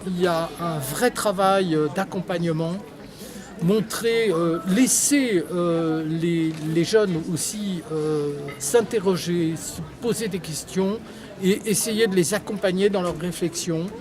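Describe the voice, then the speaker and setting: Music plays underneath. The delivery is very slow. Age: 60s. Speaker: local resident interviewed. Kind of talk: street interview. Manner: halting, many hesitations.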